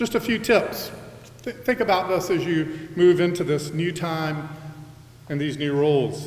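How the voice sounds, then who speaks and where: There is audible room echo and noticeable background noise. A man speaks at a fairly high pitch with ordinary pitch variation. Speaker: college president. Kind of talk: convocation address. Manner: loud.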